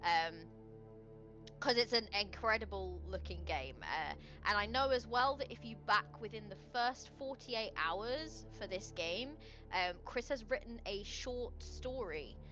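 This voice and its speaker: A woman talks at a fairly slow pace. Music plays behind her. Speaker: game designer and streamer. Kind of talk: live stream chat. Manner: halting.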